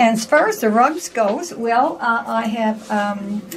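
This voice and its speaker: Music plays in the background as a woman speaks at a fairly slow pace. Her voice is fairly high, with ordinary pitch variation. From Newfoundland. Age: 70s. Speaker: rug maker. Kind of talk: casual interview.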